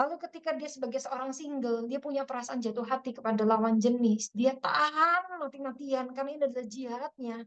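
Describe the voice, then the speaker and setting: The speaker talks at a very fast pace in a West Javanese accent. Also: woman, high pitch for a woman, ordinary pitch variation. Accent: Sundanese. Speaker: Islamic preacher. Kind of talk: religious study talk. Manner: casual, conversational.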